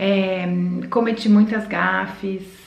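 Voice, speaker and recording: Audible room echo colors a woman's voice. Noticeable background noise is present too. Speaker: vlogger. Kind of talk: casual vlog talk.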